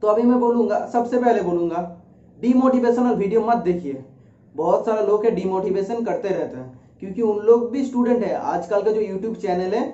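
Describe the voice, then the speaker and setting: Speaking with a Bengali accent, a man uses a high pitch for a man with ordinary pitch variation, amid noticeable background noise and audible room echo. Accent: Bengali-accented Hindi. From India, West Bengal. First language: Bengali (speaking Hindi). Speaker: YouTuber, research centre employee. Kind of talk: informational talk. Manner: hesitant, with filler sounds.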